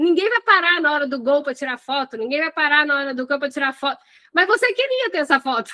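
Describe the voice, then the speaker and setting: Raised and projected, a woman's high, bright, sharp voice races along at a very fast pace with an animated tone and lively intonation, the sound dry and close with no echo. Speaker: hospitality business coach. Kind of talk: live online class.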